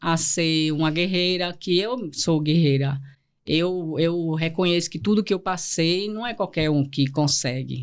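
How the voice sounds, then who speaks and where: Fairly slow speech from a woman with an Alagoas accent, her pitch fairly low and her intonation lively. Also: very clean recording, silent background. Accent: northeastern Brazilian Portuguese (Alagoas). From Brazil, Northeast (Pernambuco, raised in Alagoas). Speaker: lawyer and entrepreneur. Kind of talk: podcast interview, personal life story. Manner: gets loud and intense when speaking; halting, many restarts and fillers.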